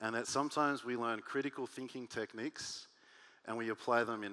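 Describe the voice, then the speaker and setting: Very clean and set against a silent background, this recording features a man with an Australian accent. His tone is animated, bright and sharp. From Australia (Sydney). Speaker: workshop speaker, advertising strategist. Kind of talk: workshop talk. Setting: stage with audience.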